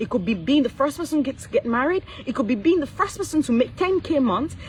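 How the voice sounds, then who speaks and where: A woman talks at a very fast pace in a high pitch, her animated tone swinging very widely in pitch. Noticeable background noise runs underneath. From Cameroon. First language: not English. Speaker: business coach. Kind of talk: motivational livestream talk. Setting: live stream.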